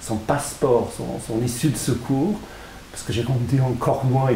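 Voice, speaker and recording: Noticeable background noise and audible room echo surround a man talking at a moderate pace. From England. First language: English (speaking French). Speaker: author. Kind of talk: interview. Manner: halting, frequent repetitions.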